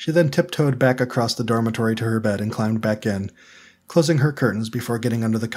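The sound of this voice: The pitch varies in an ordinary way. The voice is an unforced reading voice.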